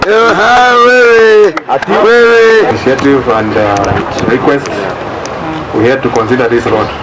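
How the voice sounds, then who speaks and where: Over noticeable background noise, a man with high pitch speaks at a very slow pace with very even loudness and very wide pitch swings. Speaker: politician, member of parliament. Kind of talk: public speech at road launch. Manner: soft-spoken.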